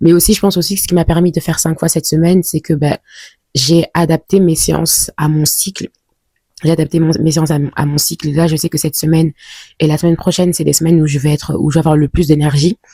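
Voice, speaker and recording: Speaking at a very fast pace, a woman uses a very deep, low pitch and a somewhat breathy, dark, mellow tone, her intonation monotone and flat. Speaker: vlogger. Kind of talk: casual vlog talk to camera. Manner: hesitant, many fillers.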